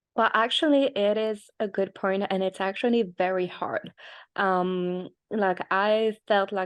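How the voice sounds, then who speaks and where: A woman speaks at a medium pitch and a fairly slow pace, with a French accent and fairly even intonation. The sound is dry and close with no echo, over a quiet background. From France. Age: 30s. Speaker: tech startup founder. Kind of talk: interview.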